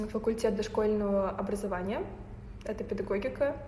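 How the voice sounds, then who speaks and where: A woman's fairly high, monotone, flat delivery amid noticeable background noise and audible room echo. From Tatarstan, Russia (Naberezhnye Chelny). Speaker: photographer. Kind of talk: casual chat.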